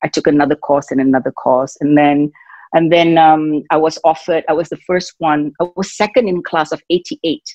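Speaking at a fairly quick pace, a woman with a very deep, low pitch keeps her intonation fairly even in a dry sound with no echo. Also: quiet background. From Singapore. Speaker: fitness and wellness entrepreneur. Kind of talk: interview answer. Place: home room. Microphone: video call.

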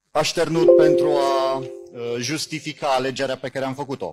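Over loud background music, a man speaks at a moderate pace with big swings in loudness. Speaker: jury member, science fiction writer and magazine editor. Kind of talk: short remarks at an awards ceremony. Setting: festival awards ceremony. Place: hall.

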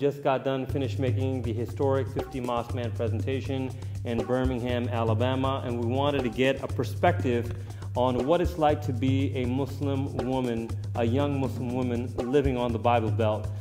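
Clear music plays in the background as a man talks with ordinary pitch variation. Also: moderate pace. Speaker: interviewer, caller. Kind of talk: interview question. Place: hall.

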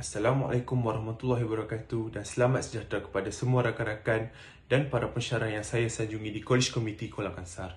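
Somewhat breathy and medium-pitched, a man rattles along at a very fast pace with hardly any pauses and fairly even intonation. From Malaysia, Penang; Malaysia. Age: 20s. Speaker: student election candidate; election candidate. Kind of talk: campaign speech. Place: home room. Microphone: phone near.

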